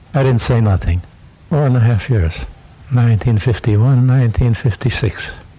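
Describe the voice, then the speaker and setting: Moderate-paced male speech at a medium pitch, ordinary pitch variation and very even loudness, against noticeable background noise. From Romania, western village. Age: 80s+. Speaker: farmer and war veteran. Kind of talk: interview testimony. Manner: halting.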